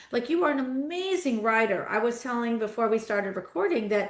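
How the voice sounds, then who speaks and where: The woman has an ordinary speaking voice, fairly high in pitch, and talks at a fairly quick pace. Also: quiet background. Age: 60s. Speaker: guest podcast host. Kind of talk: casual interview conversation.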